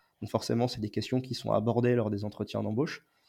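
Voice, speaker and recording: Fairly even in intonation, a man speaks at a medium pitch with a dark, mellow tone. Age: 20s. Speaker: naval base works supervisor with dwarfism. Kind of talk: testimony. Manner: halting, many repeated words and hesitations.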